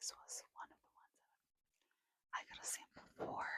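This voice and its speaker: Whispering from a woman, at a moderate pace. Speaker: ASMR creator. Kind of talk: ASMR whisper ramble. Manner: whispered.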